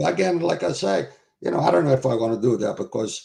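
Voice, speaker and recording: A man talks with vocal fry in a dark, mellow tone. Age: 70s. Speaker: retired wrestling promoter. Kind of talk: interview.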